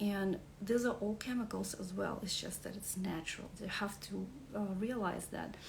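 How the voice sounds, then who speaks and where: A woman speaks in a Russian accent at a moderate pace. Audible room echo surrounds her voice. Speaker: wellness coach. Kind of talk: beginner's class presentation. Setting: live stream. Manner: halting, many fillers.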